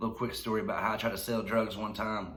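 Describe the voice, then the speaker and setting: A man talks at a very fast pace with a Tennessee accent. His fairly low voice carries audible room echo. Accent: Southern US (Tennessee). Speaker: YouTuber telling life stories. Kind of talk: casual storytelling vlog. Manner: laughing while talking.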